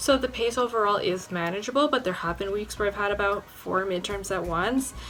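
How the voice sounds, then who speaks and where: Over music in the background, a woman speaks at a fairly quick pace with medium pitch and ordinary pitch variation. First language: Spanish. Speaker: university student. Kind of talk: informational talk to camera.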